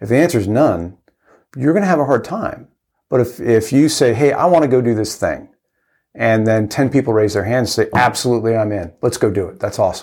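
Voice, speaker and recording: A man at a medium pitch, fairly quick and lively in intonation, in a very clean recording with a silent background. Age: 50s. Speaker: navy veteran and ultra runner. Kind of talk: interview. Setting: face-to-face studio interview. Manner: halting, many false starts.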